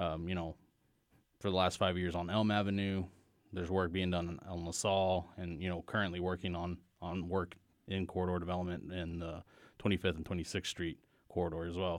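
Very deep and low, a man's voice runs at a fairly quick pace with monotone, flat intonation. The recording is very clean, with a silent background. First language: Spanish. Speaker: economic development director. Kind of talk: casual interview chat. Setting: studio.

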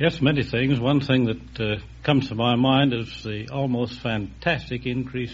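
Audible room echo surrounds a man's voice with vocal fry. His intonation stays fairly even. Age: 60s. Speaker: former city mayor and judge. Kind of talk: 1950s radio quiz show interview, earnest civic remarks. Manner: measured, slightly halting with frequent uh pauses; earnest, speech-like formal delivery.

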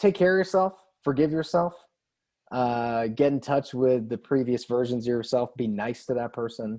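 Speaking at a fairly slow pace with lively intonation, a man with a medium pitch has an American accent. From Cape Cod, Massachusetts. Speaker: band member. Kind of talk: casual chat. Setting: video call.

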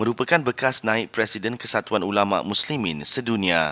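A man speaks at a moderate pace in a bright, sharp tone with lively intonation and a fairly low pitch, in a very clean recording with a silent background and a dry, close sound with no echo. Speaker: news presenter. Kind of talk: news reading. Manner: formal.

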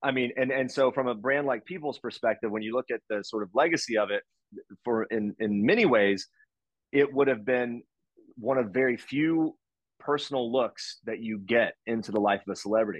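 With an American accent, a man speaks in a normal speaking voice at a medium pitch, a moderate pace and ordinary pitch variation. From US South, West Virginia. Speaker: entertainment news journalist. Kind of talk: casual chat.

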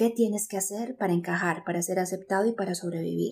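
At a fairly quick pace, a woman speaks with fairly even intonation and medium pitch, her tone dark and mellow and somewhat breathy. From Colombia, Medellín. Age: 30s. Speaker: psychologist and speaker. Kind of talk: interview.

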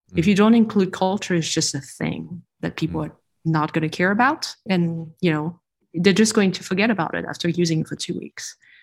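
A woman speaks at a fairly quick pace with vocal fry and ordinary pitch variation. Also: fairly low pitch for a woman. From France. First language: French. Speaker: industrial designer. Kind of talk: interview.

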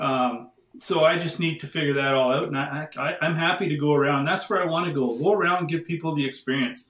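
A man with an unremarkable speaking voice talks at a fairly quick pace with hardly any pauses, using a fairly high pitch and ordinary pitch variation. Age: 50s. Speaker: crystal device maker and spiritual practitioner. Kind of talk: casual interview.

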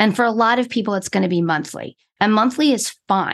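A woman's normal speaking voice, medium in pitch, at a fairly quick pace with lively intonation against a quiet background. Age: 50s. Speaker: therapist and accountant. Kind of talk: casual interview.

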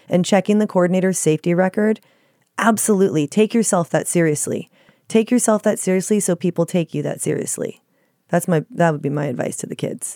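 A woman with an American accent talks at a medium pitch and a fairly quick pace. Her tone is dark and mellow, and the sound is dry and close with no echo. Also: ordinary pitch variation. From Dallas, Texas. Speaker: stunt coordinator. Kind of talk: casual interview chat.

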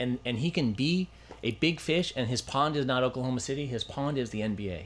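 Speaking at a medium pitch, a man with an ordinary speaking voice shows ordinary pitch variation. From Los Angeles, US. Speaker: sports agent and Olympic bid executive. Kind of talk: casual interview chat.

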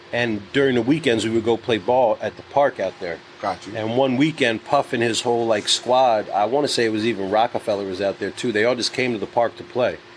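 A man speaks with a New York accent at a medium pitch and a fairly quick pace. He hardly pauses, and background noise is noticeable. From New York City. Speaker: music executive, podcast guest. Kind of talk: casual banter. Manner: animated.

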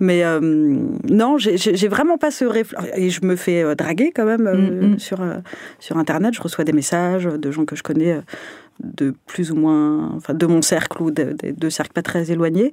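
A woman with an ordinary speaking voice talks at a fairly slow pace, her fairly low pitch carried by lively intonation. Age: 30s. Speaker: podcast host. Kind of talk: casual chat; scripted narration.

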